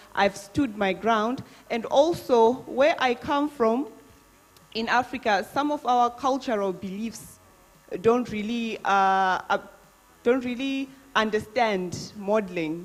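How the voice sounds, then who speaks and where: Speech moves at a very slow pace with ordinary pitch variation over music in the background. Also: woman, fairly high pitch for a woman. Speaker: beauty pageant contestant. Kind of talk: live Q&A answer. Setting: live chat event.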